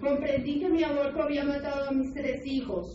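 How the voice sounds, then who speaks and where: A woman with a non-native accent speaks at a high pitch and moderate pace. There is audible room echo along with light background noise. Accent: foreign accent in Spanish. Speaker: testimony narrator in projected video. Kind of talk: personal testimony. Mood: sorrowful, confessional. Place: hall.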